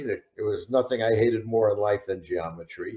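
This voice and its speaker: A man talks with a New York accent. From New York City, the Bronx. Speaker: retired prosecutor and author. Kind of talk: interview.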